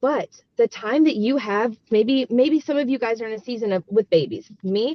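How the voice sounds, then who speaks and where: Fairly high female voice, its pitch varying in an ordinary way. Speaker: network marketing team coach. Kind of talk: team coaching call. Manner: fast; animated.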